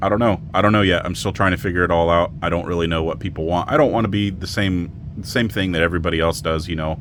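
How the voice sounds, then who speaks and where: Noticeable background noise runs under this recording. A man speaks at a very fast pace in a very deep, low voice. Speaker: RC crawler YouTuber. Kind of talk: casual vlog talk to camera. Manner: monotone; rambling, hesitant with fillers.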